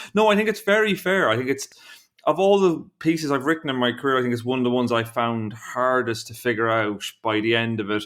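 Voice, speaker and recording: In a very clean recording with a silent background, a man with an Irish accent and medium pitch speaks at a very fast pace with lively intonation. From Ireland. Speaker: investigative journalist. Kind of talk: podcast interview. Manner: halting, with self-corrections.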